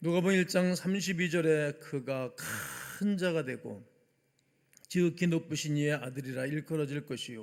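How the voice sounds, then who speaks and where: Pitched fairly high, a man speaks at a very slow pace with ordinary pitch variation. The recording is very clean, the background silent. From South Korea, Gimpo, Gyeonggi. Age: 60s. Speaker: pastor. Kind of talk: sermon.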